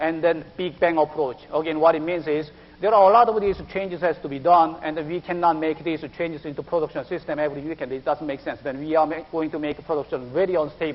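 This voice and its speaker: The speaker talks very fast with a Korean accent and hardly any pauses. The intonation stays fairly even. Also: man, fairly high pitch for a man. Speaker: IT project manager. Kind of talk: business presentation.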